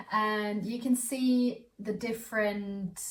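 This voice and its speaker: Somewhat breathy and very slow, a woman speaks with fairly even intonation. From Austria. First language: German. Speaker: student vlogger. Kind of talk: casual vlog talk. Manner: halting, many fillers and repeats.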